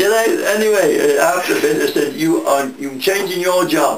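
Fairly slow delivery with ordinary pitch variation, audible room echo and light background noise. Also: man. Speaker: war veteran. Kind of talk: interview answer. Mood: lively, amused storytelling. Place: home room. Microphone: camera far.

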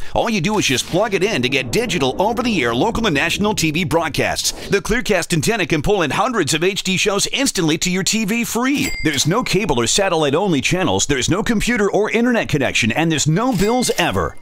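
A man's upbeat, enthusiastic voice, high in pitch with very wide pitch swings, at a very fast pace with hardly any pauses and very even loudness, over noticeable background noise. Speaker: commercial voice-over announcer. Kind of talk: 2000s-style infomercial voice-over, scripted sales pitch. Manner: upbeat, fast-paced, salesy and emphatic; polished, enthusiastic, hard-sell delivery.

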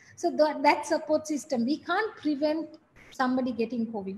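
Against light background noise, a woman talks at a fairly quick pace with ordinary pitch variation. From Sri Lanka. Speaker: business executive; guest. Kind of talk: guest talk to MBA class. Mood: reflective, candid.

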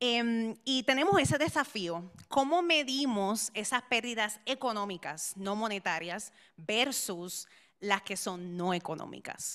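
A woman at a very slow pace, fairly high-pitched with lively intonation, on a very clean recording with a silent background. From Puerto Rico. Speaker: immunologist, science policy fellow. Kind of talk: conference presentation. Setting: stage with audience.

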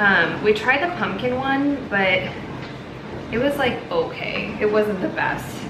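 Her pitch rises and falls in an ordinary way. There is noticeable noise in the background as the woman talks. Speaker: lifestyle vlogger. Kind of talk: casual vlog chat. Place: kitchen. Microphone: phone near.

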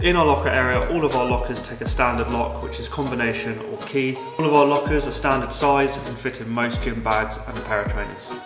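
A man talks at a very fast pace, with hardly any pauses. Clear music plays in the background. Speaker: presenter. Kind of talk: promotional tour walkthrough. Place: gym.

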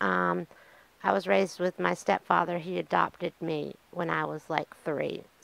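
In a Southern US accent, a woman talks at a fairly slow pace. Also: dry sound with no echo. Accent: Southern American. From US South, eastern North Carolina. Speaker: podcaster in addiction recovery. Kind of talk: personal testimony monologue. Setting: on camera, solo video podcast. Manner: casual, with many fillers. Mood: reflective, candid. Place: home room. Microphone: studio mic.

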